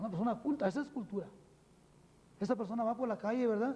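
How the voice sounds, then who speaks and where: A man's extremely high-pitched voice with a dark, mellow tone, a Mexican accent, ordinary pitch variation and a very fast pace. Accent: unchanged Mexican Spanish. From Mexico. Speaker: spiritual teacher. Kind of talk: TV interview. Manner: many fillers, frequent ¿verdad?.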